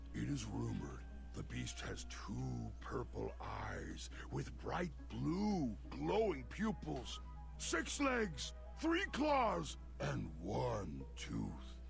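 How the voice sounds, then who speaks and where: Over clear music in the background, a man uses a put-on character voice and speaks very slowly. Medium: video game. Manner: theatrical, speaks of himself in third person.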